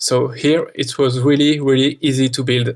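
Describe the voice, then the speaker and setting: In a French accent, a man speaks at a fairly slow pace and medium pitch, his intonation monotone and flat. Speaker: park builder, game design contestant. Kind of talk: interview about own work. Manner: halting, many repetitions and fillers.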